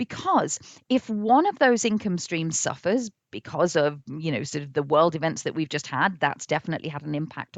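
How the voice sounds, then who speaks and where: Her pitch swings are very wide. The woman keeps a moderate pace. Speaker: business coach for speakers. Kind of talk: live online training. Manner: halting.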